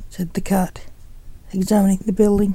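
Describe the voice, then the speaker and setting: A woman speaks at a moderate pace in a medium pitch, with a dark, mellow, somewhat breathy tone. Her intonation is monotone and flat. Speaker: poet and author reading her own story. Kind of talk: literary audiobook reading, scripted narration of a thriller with dialogue. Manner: even, measured storyteller's pace, narrating plainly with light character dialogue.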